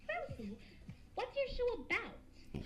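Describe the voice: A woman does a squeaky, cartoonish character voice. Background noise is clearly heard.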